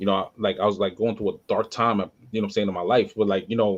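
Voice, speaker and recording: A man with a New York accent at a very fast pace. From New York area. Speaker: podcast host. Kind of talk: casual chat. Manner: halting.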